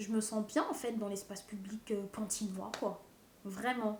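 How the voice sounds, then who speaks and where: A woman speaks very slowly in a fairly high voice. Her intonation is monotone and flat. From Seine-Saint-Denis, Paris suburbs. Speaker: documentary interviewee. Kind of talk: interview testimony.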